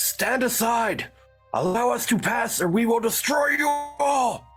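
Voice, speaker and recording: Putting on a character voice at an extremely high pitch, a man speaks at a fairly slow pace while faint music plays in the background. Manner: shouting commanding.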